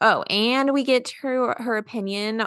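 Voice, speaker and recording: A woman speaks with a Southern accent and ordinary pitch variation. The sound is dry and close, with no echo. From US South, South Carolina. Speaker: podcast host, registered dietitian. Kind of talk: scripted episode intro; casual interview chat.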